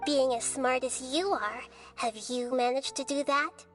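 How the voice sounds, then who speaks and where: A female-sounding put-on character voice, high in pitch at a moderate pace, with clear music in the background. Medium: game stream. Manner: calm, measured, thoughtful.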